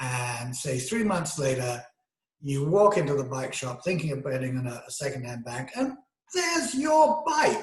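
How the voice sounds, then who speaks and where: In a British accent, a man talks at a moderate pace, with audible room echo. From Great Britain. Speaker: video essayist. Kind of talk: monologue lecture. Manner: halting, many fillers.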